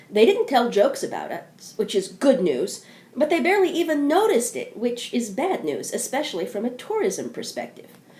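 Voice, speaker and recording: Over noticeable background noise, a woman with an American accent talks in a high pitch with very wide pitch swings and hardly any pauses. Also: moderate pace. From US South, southeastern Kentucky. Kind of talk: scripted narration.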